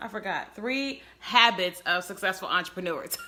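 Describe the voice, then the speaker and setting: Noticeable background noise sits under a woman whose intonation is lively. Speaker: business coach. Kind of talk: live stream chat. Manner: fast.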